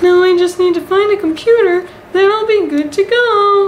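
A put-on character voice in a cheerful tone, with clear background noise. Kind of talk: comic web sketch acting. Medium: comedy sketch. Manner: cheerful, naive, wondering.

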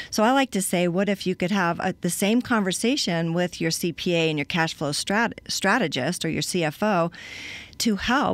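A woman's fairly low pitch in an American accent, with ordinary pitch variation, a moderate pace and a dry sound with no echo. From Colorado. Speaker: cash flow consultant; guest. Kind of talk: interview. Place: studio. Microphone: studio mic.

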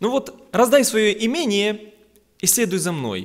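The pace is fairly slow against a quiet background. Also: man. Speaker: preacher. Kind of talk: sermon. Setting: church. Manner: earnest, exhorting, conversational. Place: church. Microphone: podium.

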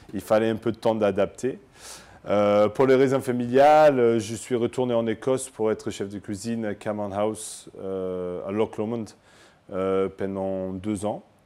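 A man speaks with an English accent at a fairly low pitch. His intonation is fairly even. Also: fairly slow pace. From Scotland. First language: English (speaking French). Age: 30s. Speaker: chef. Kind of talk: interview testimony. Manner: halting, many hesitations.

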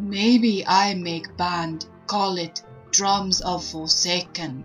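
Over clear background music, a woman puts on a character voice at a medium pitch. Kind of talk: caveman broken English, comic. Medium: game stream. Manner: slow, gruff, dim-witted.

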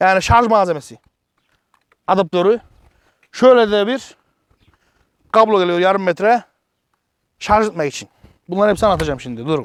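A man speaks in a high voice with an animated tone and ordinary pitch variation. His delivery has long, frequent pauses. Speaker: product reviewer, YouTuber. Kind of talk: casual product review vlog. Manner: fast.

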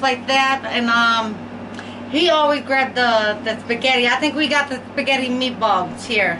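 Raising and projecting her voice, a woman speaks at a fairly slow pace with fairly even intonation against noticeable background noise. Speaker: mukbang vlogger. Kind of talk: casual vlog chat. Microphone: camera far.

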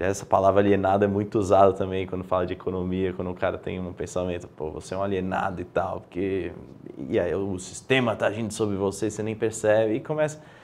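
Against light background noise, a man with a fairly low pitch speaks at a very fast pace with fairly even intonation. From Brazil, São Paulo. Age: 20s. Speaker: guest, illness survivor; interview guest. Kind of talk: interview conversation. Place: studio. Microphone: lapel.

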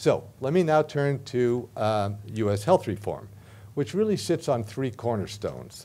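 Here a man with an American accent speaks at a medium pitch. His tone is dark and mellow, and his pace fairly slow. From United States. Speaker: professor. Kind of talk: lecture. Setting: stage with audience. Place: meeting room. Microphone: podium.

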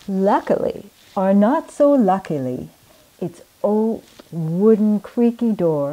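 The speaker is reading aloud in a natural voice.

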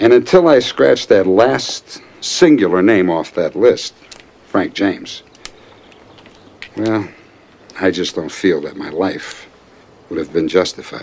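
Putting on a character voice, a man speaks low and slow with lively intonation and long, frequent pauses. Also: slightly mellow tone.

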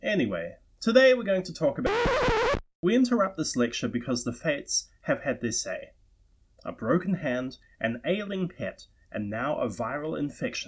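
Music plays in the background as a man speaks at a moderate pace. He has a New Zealand accent. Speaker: tabletop role-playing lore lecturer. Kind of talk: lecture to camera.

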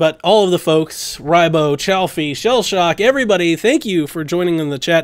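Against a quiet background, a man with a high pitch talks at a moderate pace with ordinary pitch variation and hardly any pauses. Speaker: podcast co-host. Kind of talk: casual chat. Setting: live stream. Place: home room.

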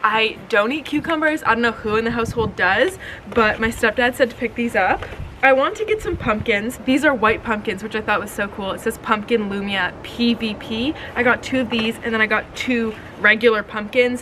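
Light background noise sits behind this woman's voice. She talks at a moderate pace with ordinary pitch variation. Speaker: vlogger. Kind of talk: casual vlog chat. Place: garden.

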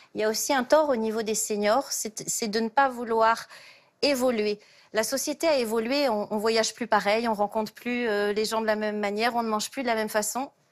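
An unremarkable speaking voice goes at a moderate pace with fairly even intonation. The background is quiet. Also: woman, fairly high pitch for a woman. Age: 50s. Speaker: job search coach; talk show guest, job coach. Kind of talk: TV talk show explanation. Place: studio.

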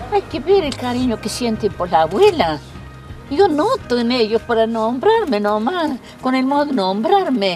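Very wide pitch swings at a fairly slow pace, in a dry sound with no echo and faint music in the background. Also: woman, high pitch for a woman. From Argentina, Córdoba province. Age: 90s. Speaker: interviewee, elderly mother; interviewee. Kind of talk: interview. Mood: warm, reminiscing. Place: home room.

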